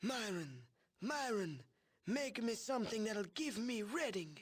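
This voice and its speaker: A put-on character voice, wheezy and gravelly, moves at a fairly slow pace with very wide pitch swings. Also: man, high pitch for a man. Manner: gravelly, demanding, like the Godfather.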